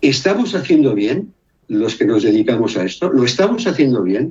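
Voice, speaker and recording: A man talks at a fairly slow pace with a medium pitch that swings very widely. His tone is dark and mellow, and somewhat breathy. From Brazil. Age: 60s. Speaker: music therapist and musician. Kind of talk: interview conversation. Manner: animated.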